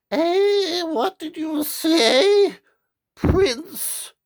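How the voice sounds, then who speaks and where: A man puts on a character voice. It is squeaky and extremely high-pitched. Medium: read story.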